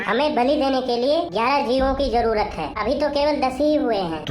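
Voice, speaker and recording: Someone does a cartoonish character voice at a fairly quick pace, with slight echo and clear background noise. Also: female-sounding voice, high pitch for a woman. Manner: cheeky, dramatic.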